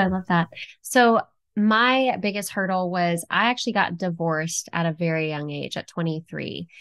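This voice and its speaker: A woman speaks at a moderate pace. Behind her, the background stays quiet. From Texas. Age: 20s. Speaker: real estate investor and former fashion model; podcast guest. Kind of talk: interview. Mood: warm, relaxed. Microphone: headset.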